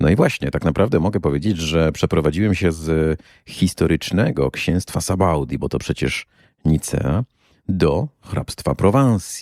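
Speaking at a fairly slow pace, a man with a dark, mellow tone and vocal fry uses lively intonation, on a very clean recording with a silent background and a dry, close sound free of echo. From Poland, Kuyavian-Pomeranian region. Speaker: podcast host and tour guide. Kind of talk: solo podcast monologue.

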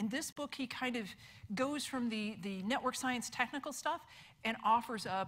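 Her tone bright and sharp, a woman speaks at a fairly quick pace. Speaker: conference presenter. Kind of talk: lecture. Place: hall.

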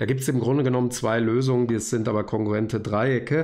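Here a man has a normal speaking voice at a medium pitch. He talks at a moderate pace with fairly even intonation. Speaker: university lecturer. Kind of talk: tutorial. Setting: recorded video at desk.

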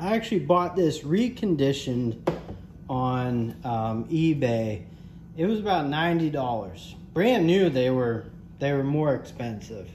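Through light background noise, a man talks at a very slow pace with very wide pitch swings. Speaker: handyman reviewing a tool. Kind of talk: casual product review chat. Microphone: phone near.

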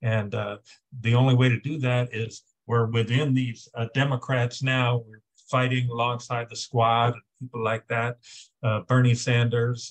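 A man's somewhat breathy voice, monotone and flat in intonation, at a fairly slow pace. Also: quiet background. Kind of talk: political discussion remarks. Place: home room. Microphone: video call.

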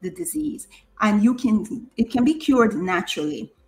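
A woman speaks in a somewhat breathy voice. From Jamaica. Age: 50s. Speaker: nurse and diabetes coach. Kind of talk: interview.

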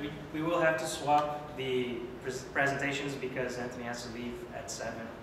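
A man at medium pitch, at a fairly slow pace, with audible room echo

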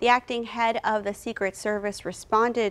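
A woman's voice at a moderate pace. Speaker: news anchor. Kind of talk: news reading. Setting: TV studio. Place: studio. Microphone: lapel.

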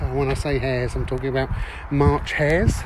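Noticeable background noise surrounds a dry sound with no echo. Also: man. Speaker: caravanner reviewing a site. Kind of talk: casual vlog chat. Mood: relaxed, pleasant. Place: open country. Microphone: phone near.

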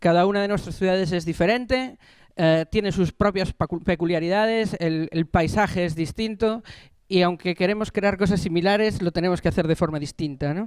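High male voice at a moderate pace, with ordinary pitch variation, dry sound with no echo and a quiet background. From Galicia, A Coruña; Galicia. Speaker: municipal platform organizer; speaker. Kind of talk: panel talk. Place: classroom. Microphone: handheld.

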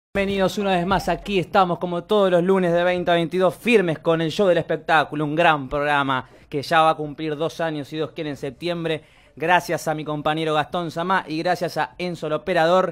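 The man's voice sits high in pitch, with fairly even intonation. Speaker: radio show host. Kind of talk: radio show banter and introduction. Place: studio.

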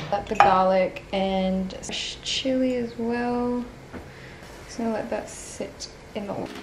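In an Australian accent, a woman speaks very slowly with a fairly high pitch and fairly even intonation. Her loudness swings widely over noticeable background noise. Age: young. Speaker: lifestyle vlogger. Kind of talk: casual vlog talk to camera.

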